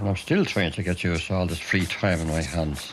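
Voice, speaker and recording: The man speaks at a fairly quick pace, and noticeable noise runs underneath. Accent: Dublin. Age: 60s. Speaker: retired mail sorter. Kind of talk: documentary narration.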